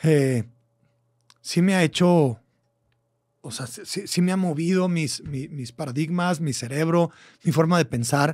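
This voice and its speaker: Speaking with a Mexican accent, a man uses a fairly high pitch, ordinary pitch variation and an animated tone at a fairly slow pace, with long, frequent pauses and big swings in loudness. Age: 40s. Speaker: podcast host. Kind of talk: casual monologue.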